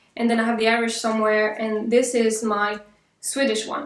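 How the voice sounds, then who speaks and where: With a French accent, a woman speaks at a fairly high pitch with fairly even intonation. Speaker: vlogger. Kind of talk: casual vlog talk to camera. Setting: home apartment.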